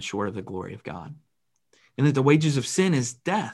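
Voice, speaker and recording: A somewhat breathy man talks at a moderate pace, his pitch swinging very widely. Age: 30s. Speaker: pastor. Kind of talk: sermon. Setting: church.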